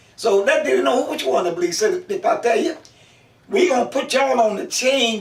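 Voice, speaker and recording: Noticeable background noise sits behind a man speaking at a moderate pace. His pitch swings very widely. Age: 90s. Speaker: oral history interviewee. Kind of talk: life story interview.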